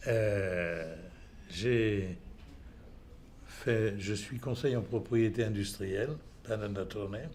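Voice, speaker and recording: In a room with audible echo, a man speaks very slowly in a fairly low, somewhat breathy voice with ordinary pitch variation and long, frequent pauses. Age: 80s+. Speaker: patient. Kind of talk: testimony. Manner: halting.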